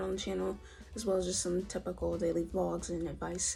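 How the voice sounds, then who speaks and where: A woman talks at a very fast pace with music playing in the background. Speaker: poet. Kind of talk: casual talk to camera.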